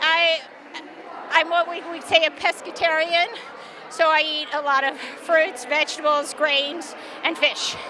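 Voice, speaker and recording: Raising and projecting her extremely high voice, a woman speaks at a fairly slow pace with fairly even intonation and long, frequent pauses over noticeable background noise. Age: 60s. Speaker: masters track athlete. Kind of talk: interview. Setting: indoor track venue.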